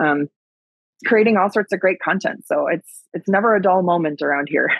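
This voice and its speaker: A woman with a Wisconsin accent speaks fairly quickly at a medium pitch. Her loudness stays very even, and her pitch varies in an ordinary way. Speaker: agriculture advocate and keynote speaker. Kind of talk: podcast interview. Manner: casual, with many fillers.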